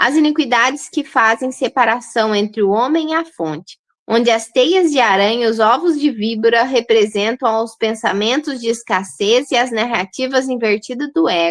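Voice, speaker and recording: A woman with a high pitch and lively intonation at a moderate pace. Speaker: holistic nutritionist. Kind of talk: online lecture. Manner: halting.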